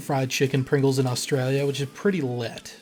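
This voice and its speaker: In an American accent, a man speaks in an upbeat tone that is somewhat breathy. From California. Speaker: history YouTuber. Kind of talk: Q&A monologue. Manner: upbeat, articulate.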